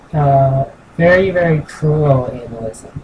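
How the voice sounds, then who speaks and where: The speaking goes at a very slow pace. Behind it, background noise is noticeable. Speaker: gaming streamer. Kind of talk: live gameplay commentary.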